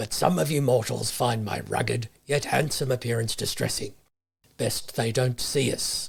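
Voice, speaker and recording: A man uses a put-on character voice that is raspy and medium in pitch. He talks at a moderate pace. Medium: read story. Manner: dry, matter-of-fact.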